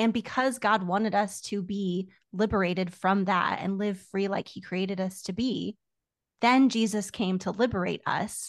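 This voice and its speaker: A woman speaks at a moderate pace in a normal speaking voice, her pitch medium. Her intonation stays fairly even over a quiet background. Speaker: doctoral student in biblical studies. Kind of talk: casual chat.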